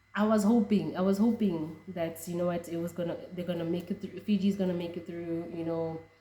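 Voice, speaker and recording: Somewhat breathy, the voice has a dark, mellow tone and fairly even intonation. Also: woman. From South Africa. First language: a Southern African language. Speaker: rugby fan vlogger. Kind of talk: casual reaction vlog.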